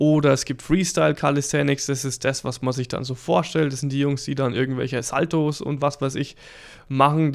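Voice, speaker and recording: On a very clean recording with a silent background, a man speaks in a monotone, flat intonation at a fairly high pitch and a moderate pace. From Lower Franconia, Germany (near Würzburg). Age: 30s. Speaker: guitar coach and podcast host. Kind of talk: casual monologue.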